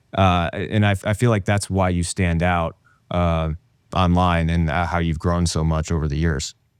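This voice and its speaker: In a very clean recording with a silent background, a man with a Midwestern accent talks at a moderate pace in a very deep, low voice, his intonation fairly even and his loudness very even. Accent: general American Midwest. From small town in Ohio. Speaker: podcast host. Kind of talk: casual interview chat.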